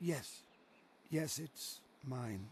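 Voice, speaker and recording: A raspy put-on character voice from a man at medium pitch, set against clear background noise. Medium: video game. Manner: folksy, warm.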